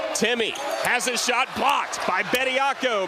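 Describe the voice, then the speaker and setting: A man's raised, projected voice with ordinary pitch variation amid noticeable background noise. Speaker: radio play-by-play announcer. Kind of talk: live sports radio play-by-play. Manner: fast, energetic.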